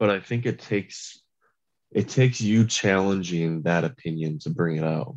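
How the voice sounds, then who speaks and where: In a quiet setting, a man with an American accent talks in a dark, mellow tone. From US Midwest, Michigan. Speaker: podcast guest, former journalist. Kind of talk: casual chat.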